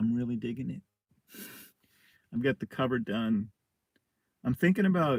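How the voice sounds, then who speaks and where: The sound is dry and close with no echo as a man talks at a medium pitch with lively intonation. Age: 60s. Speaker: artist and novelist. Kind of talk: casual monologue vlog. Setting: outdoors, camping in forest. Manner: casual, with many fillers.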